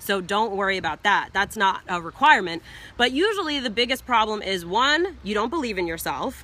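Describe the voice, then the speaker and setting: A woman speaks with a fairly high, bright, sharp voice. Her tone is animated, with very wide pitch swings. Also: fairly quick pace. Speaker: business coach. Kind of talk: live stream teaching. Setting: outdoors in backyard, live video. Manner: fast.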